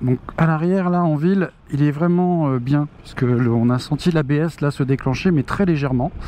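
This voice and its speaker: Over noticeable background noise, a man talks at a fairly quick pace with a fairly high pitch and ordinary pitch variation. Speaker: motorcycle reviewer. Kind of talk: riding review commentary. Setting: riding a scooter outdoors on road. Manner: hesitant, many fillers.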